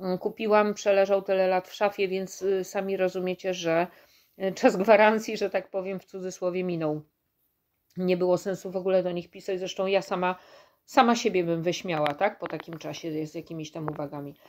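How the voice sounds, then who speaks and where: Woman speaking at a fairly quick pace with fairly even intonation, over a quiet background. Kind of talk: casual vlog chat. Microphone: phone near.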